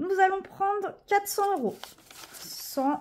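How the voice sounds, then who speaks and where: A woman's voice over noticeable background noise. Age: 30s. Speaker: budgeting vlogger. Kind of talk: casual vlog tutorial. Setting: at home apartment. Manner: hesitant, many fillers.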